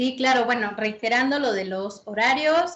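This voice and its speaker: With an unremarkable speaking voice, a woman talks in a fairly high pitch with lively intonation. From Puebla, Mexico. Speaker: musician and fandango dancer. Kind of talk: casual interview. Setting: video call.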